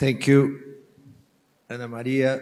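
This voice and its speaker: A man with a Brazilian accent speaks in a monotone, flat intonation. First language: Portuguese. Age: 60s. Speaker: business founder. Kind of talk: panel discussion. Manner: halting.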